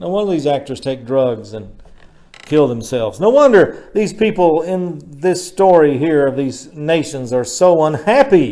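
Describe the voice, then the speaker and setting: A man speaks at a fairly slow pace with a fairly high pitch, a dark, mellow tone and lively intonation, and audible room echo. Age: 60s. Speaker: pastor. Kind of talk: sermon. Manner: conversational.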